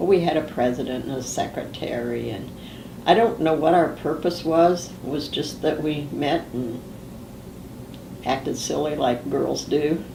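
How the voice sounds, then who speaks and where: A woman's very deep, low-pitched voice at a fairly slow pace with ordinary pitch variation and audible room echo. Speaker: family history interviewee. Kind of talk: oral history interview. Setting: filmed interview. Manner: casual, with fillers.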